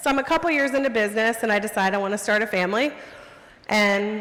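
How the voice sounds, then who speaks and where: A woman talks at a moderate pace in a fairly high pitch, her intonation lively. Noticeable background noise runs under her voice. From US South. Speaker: photographer. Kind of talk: storytelling talk.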